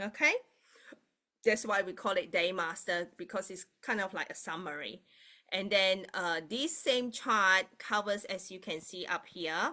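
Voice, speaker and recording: In a very clean recording with a silent background, a woman with a Mandarin accent speaks fairly slowly at a medium pitch. Her tone is bright and sharp, her pitch varies ordinarily, and her loudness swings widely. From Malaysia. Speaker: Bazi astrology reader. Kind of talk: live-stream teaching and chart reading. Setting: live stream. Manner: hesitant, many fillers.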